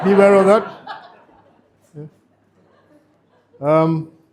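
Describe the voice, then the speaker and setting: Mumbling at a high pitch for a man, a man keeps his intonation fairly even. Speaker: father of the bride. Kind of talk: wedding speech. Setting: wedding reception with audience. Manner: halting.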